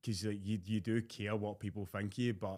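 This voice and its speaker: In a Scottish accent, a man with a fairly low pitch speaks in a monotone, flat way at a fairly quick pace. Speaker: fitness content creator. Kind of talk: casual chat.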